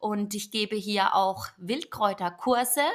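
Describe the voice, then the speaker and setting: With an unremarkable speaking voice, a woman talks at a fairly slow pace, her fairly high pitch varying in an ordinary way. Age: 30s. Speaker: podcast host and yoga teacher. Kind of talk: solo podcast intro monologue.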